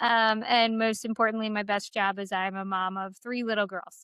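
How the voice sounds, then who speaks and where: In a Philadelphia accent, a woman with a fairly high pitch speaks at a moderate pace with monotone, flat intonation, and the sound is dry and close with no echo. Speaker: pediatric pharmacist.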